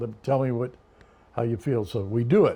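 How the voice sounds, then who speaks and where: A man's voice with a dark, mellow tone in an American accent. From California. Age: 90s. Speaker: grandfather telling life stories. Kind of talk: family interview, storytelling. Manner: animated.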